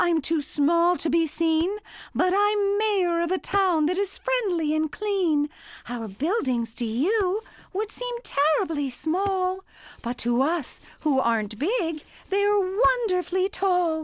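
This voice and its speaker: Squeaky and put-on, this woman's character voice sits at an extremely high pitch, moving slowly with very wide pitch swings. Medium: read story. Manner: piping.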